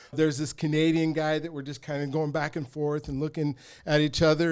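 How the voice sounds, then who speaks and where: A man with a fairly high-pitched voice is heard on a very clean recording with a silent background. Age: 50s. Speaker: track coach and life coach. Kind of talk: casual chat. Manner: animated.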